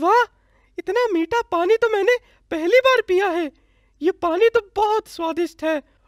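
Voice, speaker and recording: This is a cartoonish character voice that sounds female. Its pitch is extremely high. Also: moderate pace. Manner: expressive cartoon voice.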